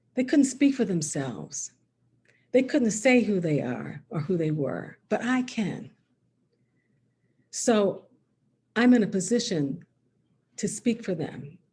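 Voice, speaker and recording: Speaking very slowly with long, frequent pauses, a woman uses a medium pitch, a dark, mellow tone and vocal fry, her pitch swinging very widely. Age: 60s. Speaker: author. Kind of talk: author talk. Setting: video call.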